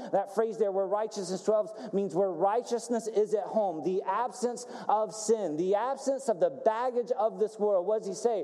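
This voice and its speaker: Over noticeable background noise, a man with a high pitch talks in an animated tone at a moderate pace, with ordinary pitch variation. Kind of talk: sermon with call-and-response. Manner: animated, exhortative, building in intensity; rhetorical questions, pauses for congregation's "amen".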